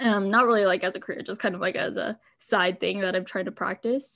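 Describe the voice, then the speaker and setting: A woman speaks at medium pitch and a moderate pace, her intonation fairly even. The recording is very clean, with a silent background. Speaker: university art student and podcaster. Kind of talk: casual chat. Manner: hesitant, filler-heavy.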